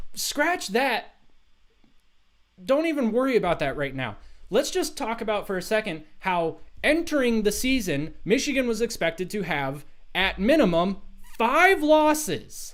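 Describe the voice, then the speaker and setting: A man's high, animated voice with very wide pitch swings and long, frequent pauses. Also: fairly slow pace. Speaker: sports livestream host. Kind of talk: livestream sports commentary. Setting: live stream. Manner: loud.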